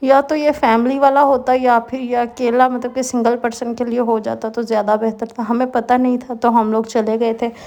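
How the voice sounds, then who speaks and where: With hardly any pauses, a woman talks at a moderate pace and high pitch in a monotone, flat intonation over noticeable background noise. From Pakistan. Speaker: housewife vlogger. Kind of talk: vlog voice-over narration. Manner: casual, conversational.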